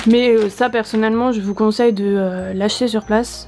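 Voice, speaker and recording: An unremarkable speaking voice from a woman, fairly high in pitch, at a moderate pace with fairly even intonation. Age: 20s. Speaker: vlogger. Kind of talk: casual tutorial. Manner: casual, with fillers.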